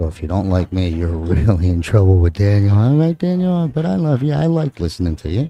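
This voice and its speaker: With a strong New Jersey accent, a man talks at a fairly quick pace in a fairly low voice with very wide pitch swings. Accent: heavy New Jersey. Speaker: pool commentator. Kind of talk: live commentary. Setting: commentary booth at live event. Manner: casual, conversational.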